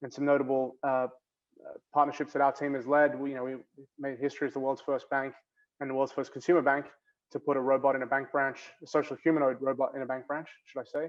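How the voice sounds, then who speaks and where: Very fast and in a flat monotone, a man speaks with an Australian accent. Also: fairly high pitch for a man. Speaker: bank innovation executive. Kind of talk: panel discussion. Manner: hesitant, many fillers.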